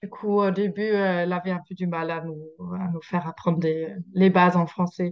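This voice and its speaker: This woman speaks at a moderate pace in a fairly low pitch, her intonation monotone and flat. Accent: slight German. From Germany. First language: German (speaking French). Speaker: social media creator. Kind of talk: interview. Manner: halting.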